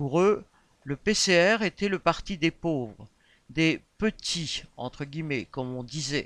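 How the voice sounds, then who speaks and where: The speech moves at a very slow pace over a quiet background, with a dry, close sound and no echo. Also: man. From Réunion. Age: 50s. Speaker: election candidate. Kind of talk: campaign statement. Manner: formal.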